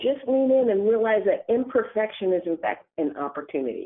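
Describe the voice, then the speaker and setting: The voice comes with an American accent. Its tempo stays moderate. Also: woman. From Texas, San Antonio. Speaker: utility chief executive. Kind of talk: interview. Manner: halting.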